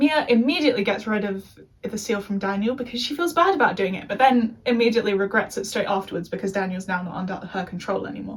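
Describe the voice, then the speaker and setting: Over noticeable background noise, a woman with an English accent talks at a very fast pace and a medium pitch with lively intonation. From England. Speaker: youtuber. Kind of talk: review monologue. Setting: being filmed by a friend.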